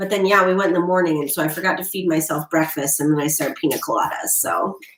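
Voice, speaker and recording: Loud and animated, a woman with an American accent speaks at a very fast pace. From Florida. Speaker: tarot reader. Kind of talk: live stream tarot readings.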